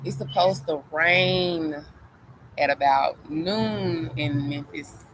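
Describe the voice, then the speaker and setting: Very slow pace and lively intonation, with noticeable background noise. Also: woman, very deep, low pitch for a woman. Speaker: spiritual live streamer. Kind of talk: casual live stream monologue. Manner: hesitant, filler-heavy.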